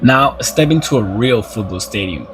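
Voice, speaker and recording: With a non-native accent, a man speaks at medium pitch and a moderate pace. Music plays in the background. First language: not English. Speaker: sports YouTuber. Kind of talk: scripted opinion narration; casual outro to viewers. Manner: impassioned.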